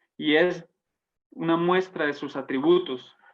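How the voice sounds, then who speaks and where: A speaker with a Santander Colombian accent talks at a fairly slow pace. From Colombia, Santander. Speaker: Bible teacher. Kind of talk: Bible study teaching. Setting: online broadcast.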